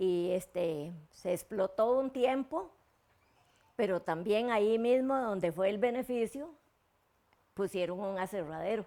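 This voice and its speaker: Speaking very slowly with a Costa Rican accent, the voice has lively intonation and long, frequent pauses. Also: woman, medium pitch for a woman. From Costa Rica, Turrialba area. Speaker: local elder recounting community history. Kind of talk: oral history interview. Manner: halting, with repetitions and fillers.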